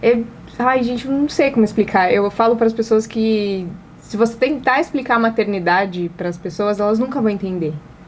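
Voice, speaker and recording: Speech comes at a moderate pace with ordinary pitch variation. Noticeable background noise runs underneath. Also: woman. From Brazil, Paraná. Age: 30s. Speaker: advertising agency owner and influencer. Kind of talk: interview conversation.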